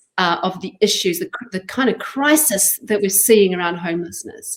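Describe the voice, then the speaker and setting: With a slight New Zealand accent, a woman speaks at a medium pitch. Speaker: charity chief executive. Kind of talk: interview. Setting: live online broadcast. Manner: halting.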